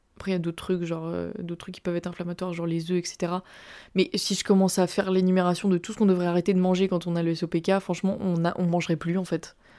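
A woman with a dark, mellow tone talks at a very fast pace. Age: 20s. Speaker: podcaster. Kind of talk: personal testimony monologue. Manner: casual, animated.

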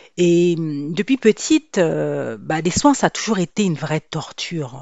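A woman speaks with a very deep, low pitch. Her intonation is lively and her pace fairly slow. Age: 50s. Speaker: podcast host, hair coach. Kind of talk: personal storytelling monologue. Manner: conversational, with hesitations.

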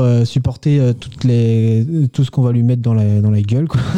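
In a dark, mellow tone, a man speaks with fairly even intonation. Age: 20s. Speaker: aerospace engineering graduate. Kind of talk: radio interview. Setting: radio studio. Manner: hesitant, many fillers.

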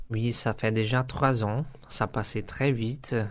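A man with a Portuguese accent speaks at a very slow pace with fairly even intonation. The recording is very clean, with a silent background. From Brazil, São Paulo. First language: Portuguese (speaking French). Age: 30s. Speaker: software test engineer and language student. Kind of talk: interview testimony. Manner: halting, many hesitations.

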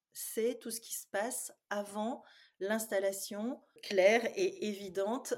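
A woman speaks at a very slow pace. Her fairly high voice carries ordinary pitch variation. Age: 50s. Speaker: psychologist and dietitian. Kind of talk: interview.

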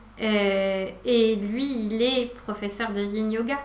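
A fairly high-pitched woman with fairly even intonation, in a room with audible echo. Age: 40s. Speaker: yoga teacher. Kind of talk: casual chat. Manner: soft-spoken.

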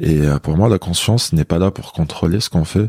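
Dry and close with no echo, a man speaks at a moderate pace. His very deep, low voice has a dark, mellow tone and ordinary pitch variation. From Algeria, Kabylie (Béjaïa). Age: 20s. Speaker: massage therapist and hypnotherapist. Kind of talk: casual interview. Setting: massage practice room.

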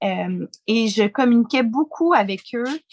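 Very slow speech with a dry, close sound and no echo. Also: woman. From Quebec. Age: 40s. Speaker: founder of a business mothers' network. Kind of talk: interview.

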